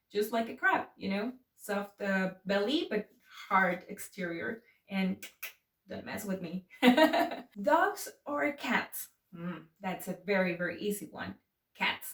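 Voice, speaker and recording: A woman with a Spanish accent speaks at a medium pitch and a very slow pace, with ordinary pitch variation and long, frequent pauses. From Mexico City. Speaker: YouTuber. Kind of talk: casual chat. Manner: animated.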